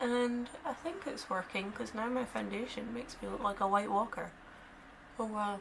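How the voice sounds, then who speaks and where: Noticeable background noise fills the clip. A woman with a Scottish accent speaks at a fairly slow pace. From Scotland, Dundee. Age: 20s. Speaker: beauty vlogger. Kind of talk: makeup tutorial chat. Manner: casual, chatty.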